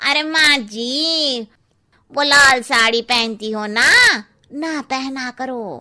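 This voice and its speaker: A cartoonish character voice at a very slow pace, with ordinary pitch variation. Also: woman, high pitch for a woman. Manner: blunt, cheeky.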